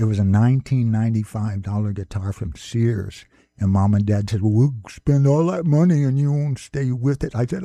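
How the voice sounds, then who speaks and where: A man with an American accent, fairly low in pitch, at a moderate pace and with lively intonation, over background music, in a dry, close sound with no echo. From grew up on military bases in Newfoundland, Alaska and Michigan. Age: 80s+. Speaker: folk musician. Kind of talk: radio interview.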